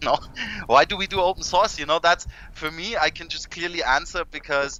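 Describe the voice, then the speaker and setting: A man talks with vocal fry. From Germany. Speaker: tech podcast co-host. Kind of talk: casual chat. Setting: live stream.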